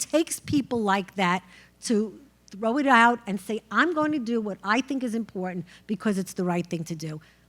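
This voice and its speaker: Using a New York accent, a woman speaks at a moderate pace with a fairly high pitch. Her intonation is lively, on a very clean recording with a silent background. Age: 60s. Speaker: judge. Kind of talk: panel discussion.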